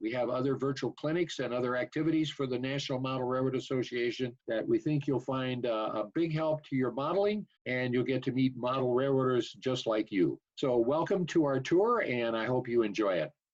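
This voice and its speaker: This man has an unremarkable speaking voice, a medium pitch with ordinary pitch variation, and a fairly quick pace with hardly any pauses. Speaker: master model railroader. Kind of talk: event welcome address.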